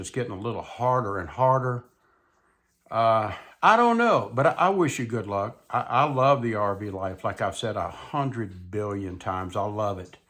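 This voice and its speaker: Relaxed in tone, a man with a Mississippi accent talks at a medium pitch. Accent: Southern US (Mississippi). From US South, South Mississippi. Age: 70s. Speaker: YouTuber, retired widower vlogger. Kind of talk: casual monologue vlog. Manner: relaxed, slow conversational.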